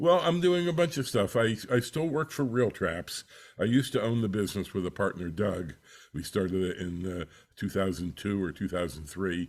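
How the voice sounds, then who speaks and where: A man speaks at a fairly low pitch with very wide pitch swings. The recording is very clean, with a silent background. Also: moderate pace. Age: 70s. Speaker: audio engineer and author. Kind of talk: interview. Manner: halting, many fillers.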